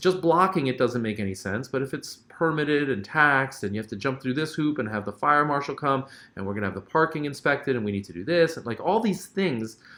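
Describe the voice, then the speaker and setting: A man with a fairly high voice rattles off his words very fast, his intonation lively. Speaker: short-term rental educator and host. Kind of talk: live stream Q&A. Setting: live stream from a hotel. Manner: casual, filler-heavy.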